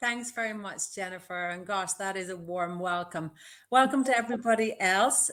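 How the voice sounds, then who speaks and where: In a western Irish accent, a woman talks at a moderate pace on a very clean recording with a silent background. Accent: Irish, west of Ireland. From west of Ireland, Castlebar. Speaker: business mentor. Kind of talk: live interview. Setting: livestream.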